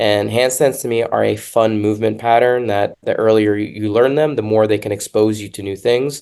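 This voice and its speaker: Against a quiet background, a man speaks at a moderate pace in a medium pitch. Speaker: fitness podcast host. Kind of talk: casual podcast discussion. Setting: hotel room. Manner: loud.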